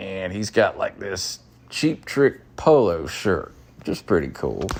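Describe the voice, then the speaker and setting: A man with a strong Southern US accent and a fairly low pitch speaks very slowly with vocal fry and very wide pitch swings. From US South, North Carolina (Charlotte). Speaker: caller, rock fan. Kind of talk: storytelling.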